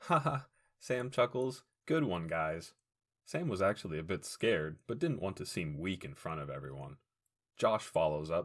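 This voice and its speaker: A man's very deep, low voice at a moderate pace, with very wide pitch swings. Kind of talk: audiobook fiction reading.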